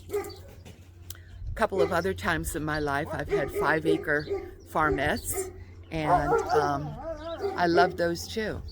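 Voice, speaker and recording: A woman at a fairly slow pace, against noticeable background noise. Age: 70s. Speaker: homesteader and farm vlogger. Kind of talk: casual vlog monologue. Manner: halting, many fillers.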